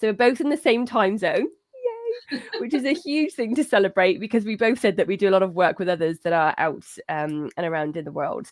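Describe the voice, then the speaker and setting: An enthusiastic woman with a British accent, fairly high-pitched and fairly quick, her pitch swinging very widely. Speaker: cat behaviour advisor and show host. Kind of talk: live-streamed interview.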